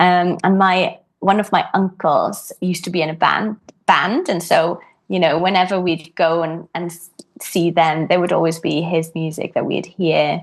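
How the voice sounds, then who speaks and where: A woman's fairly low voice in a Welsh accent, monotone and flat, at a moderate pace. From Wales. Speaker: harpist. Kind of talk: podcast interview. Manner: hesitant, many fillers.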